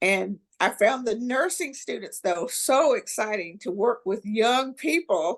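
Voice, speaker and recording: A woman's fairly high voice at a fairly slow pace, with very wide pitch swings and hardly any pauses. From Tennessee. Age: 60s. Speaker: political candidate and former army nurse. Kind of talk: podcast interview. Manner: halting.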